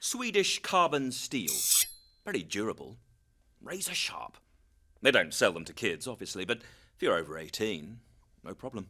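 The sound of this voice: Doing a put-on character voice, a man speaks at a moderate pace with a fairly low pitch, big pitch swings and a bright, sharp tone on a very clean recording with a silent background.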